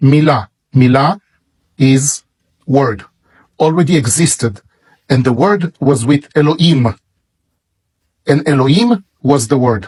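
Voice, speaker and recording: In an Israeli accent, a man with a fairly high pitch and a somewhat breathy voice talks at a fairly slow pace with lively intonation, very even loudness and long, frequent pauses, in a dry, close sound with no echo. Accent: Israeli Hebrew. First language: Hebrew. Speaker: Bible publisher. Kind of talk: sales pitch.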